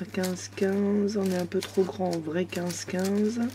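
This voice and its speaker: A woman's fairly low voice with ordinary pitch variation at a very slow pace. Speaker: craft instructor. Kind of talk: product haul. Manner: halting.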